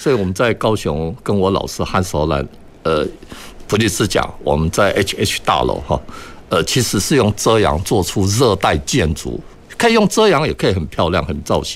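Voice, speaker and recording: The voice moves at a moderate pace and swings very widely in pitch. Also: man, very deep, low pitch for a man. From Taiwan, Kaohsiung. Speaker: architect, green energy industry association chairman. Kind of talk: radio panel discussion. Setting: radio studio, live broadcast.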